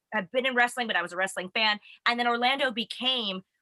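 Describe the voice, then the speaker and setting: A woman with an American accent talks at a fairly quick pace in a high voice, her tone bright, sharp and animated, with ordinary pitch variation and a dry, close sound with no echo. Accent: American, noticeable in England. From United States. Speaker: wrestling web show host. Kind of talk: casual chat.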